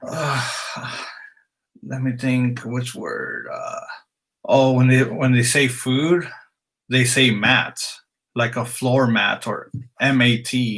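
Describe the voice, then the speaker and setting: A man speaks very slowly in a flat monotone, leaving long, frequent pauses. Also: medium pitch for a man. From Mexican heritage, moved a lot as a child. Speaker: streamer. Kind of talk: casual live stream chat. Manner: casual with many fillers.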